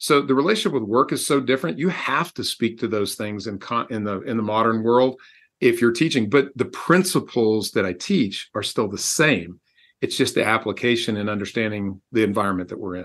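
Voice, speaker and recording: With an American accent, a man speaks fairly quickly at a medium pitch with lively intonation. He has an ordinary speaking voice, and the background is quiet. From Texas. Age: 60s. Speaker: executive coach and author. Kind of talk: interview.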